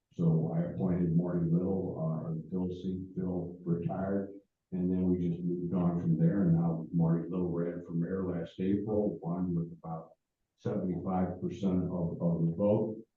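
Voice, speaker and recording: The speaker has an American accent and a monotone, flat delivery. Audible room echo surrounds the voice. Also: man, very deep, low pitch for a man, moderate pace. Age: 70s. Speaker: former mayor. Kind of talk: speech to a club meeting. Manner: halting.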